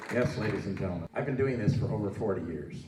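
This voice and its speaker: A man's voice carries audible room echo alongside noticeable background noise. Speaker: political candidate, legislative advocate. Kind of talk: campaign speech at candidate forum.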